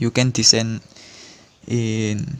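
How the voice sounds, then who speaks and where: A man talks with a non-native accent. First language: not English. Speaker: tutorial channel host. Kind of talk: tutorial. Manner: halting.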